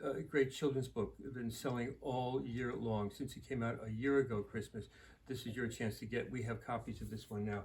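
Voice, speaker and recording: A man with a medium pitch talks with fairly even intonation and some vocal fry. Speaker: bookstore owner. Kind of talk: book recommendations. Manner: fast; halting.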